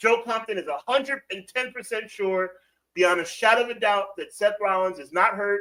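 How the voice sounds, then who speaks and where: Using a raised, projected voice, a man speaks at a moderate pace with a high pitch. His tone is bright and sharp, with ordinary pitch variation. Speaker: wrestling podcast host. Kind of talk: live stream chat with viewers. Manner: casual, animated.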